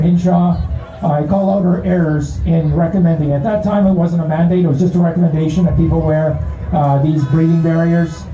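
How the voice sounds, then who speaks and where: Faint music plays behind a man whose voice is high in pitch. He talks at a moderate pace, and the room echo is audible. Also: very even loudness. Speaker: speaker. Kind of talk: public speech. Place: street.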